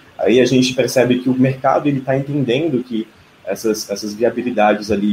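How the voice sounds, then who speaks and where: There is noticeable background noise. A man talks fairly quickly at a medium pitch with ordinary pitch variation. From Brasília, Brazil. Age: 20s. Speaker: digital marketing customer success specialist. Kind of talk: live stream panel discussion. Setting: online live stream.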